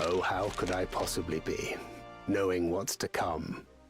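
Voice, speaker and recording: A man's put-on character voice, very deep and low, at a moderate pace over clear background music. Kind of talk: archaic theatrical.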